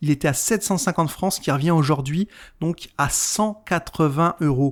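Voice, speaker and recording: On a very clean recording with a silent background, a man talks at a fairly slow pace with ordinary pitch variation. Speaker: retrogaming youtuber. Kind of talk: video commentary. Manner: casual, conversational.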